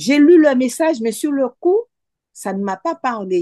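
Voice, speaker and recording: A woman's dark, mellow voice with very wide pitch swings, the sound dry and close with no echo. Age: 60s. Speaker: cancer survivor. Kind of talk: testimony.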